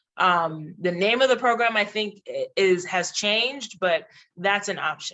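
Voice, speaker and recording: In a Haitian accent, a woman talks at a medium pitch. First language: Haitian Creole. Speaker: diplomat. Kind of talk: panel discussion advice. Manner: casual with frequent fillers and restarts.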